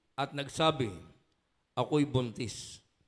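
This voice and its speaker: The man speaks at a very slow pace. His pitch varies in an ordinary way. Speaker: scripture reader. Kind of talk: reading aloud. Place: church. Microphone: handheld.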